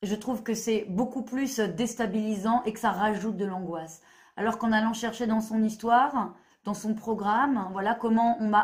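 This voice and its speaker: At a fairly high pitch, a woman speaks somewhat breathily at a fairly slow pace with fairly even intonation. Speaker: therapist. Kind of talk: monologue video explanation. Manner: hesitant, many fillers.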